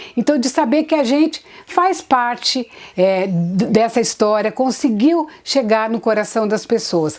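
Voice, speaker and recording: A woman speaks at a fairly slow pace. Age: 60s. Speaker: theatre actress. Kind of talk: interview.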